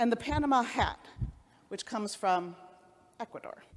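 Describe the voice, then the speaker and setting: A woman in a Cleveland accent with ordinary pitch variation. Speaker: rabbi. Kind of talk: sermon.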